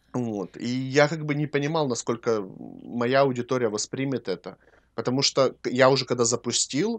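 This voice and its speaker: A man with a normal speaking voice talks at a moderate pace and a medium pitch with ordinary pitch variation, on a very clean recording with a silent background and a dry, close sound with no echo. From Ukraine. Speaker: podcast co-host and cosmetics maker. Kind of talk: casual chat.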